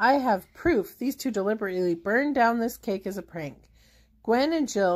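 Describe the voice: Lively intonation over a plain read-aloud delivery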